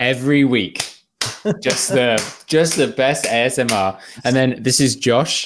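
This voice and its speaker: Here a man speaks in a British accent. His loudness stays very even. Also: medium pitch for a man, ordinary pitch variation, fairly slow pace. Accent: British, often taken for Australian. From England. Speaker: podcast host. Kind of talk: casual chat.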